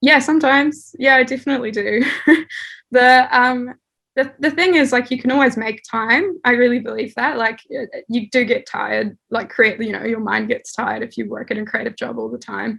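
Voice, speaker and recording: A woman's high-pitched, bright, sharp voice at a moderate pace with ordinary pitch variation. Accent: New Zealand. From New Zealand (Dunedin), born in the Netherlands. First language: Dutch. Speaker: artist and art director. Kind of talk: interview. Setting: home, childhood bedroom.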